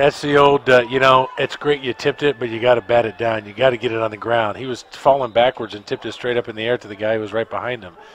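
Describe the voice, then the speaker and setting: A man talks very fast at a medium pitch in a flat monotone, the sound dry with no echo and light background noise behind him. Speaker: radio color analyst, former player. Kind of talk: live radio sports commentary, analyst breakdown of plays. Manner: conversational, opinionated, with fillers. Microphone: headset.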